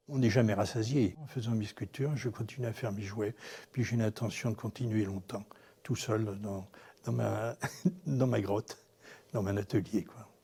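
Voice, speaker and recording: Somewhat breathy with a dark, mellow tone, a man speaks at a fairly low pitch and a fairly slow pace, his intonation fairly even and his pauses long and frequent. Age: 70s. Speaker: animal sculptor. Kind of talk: documentary interview. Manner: hesitant, with repetitions and fillers.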